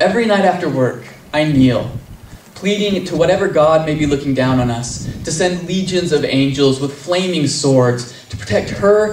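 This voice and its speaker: A man speaks at a moderate pace in a fairly high pitch, his tone intense and his intonation lively, over noticeable background noise. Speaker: poet. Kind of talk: live slam poetry performance. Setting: live outdoor event. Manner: intense, earnest.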